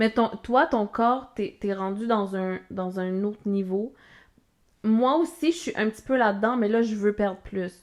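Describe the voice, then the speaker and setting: With a Quebec accent, a woman talks at a fairly slow pace in a fairly high pitch with ordinary pitch variation against a quiet background. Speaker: podcast co-host. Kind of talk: casual chat.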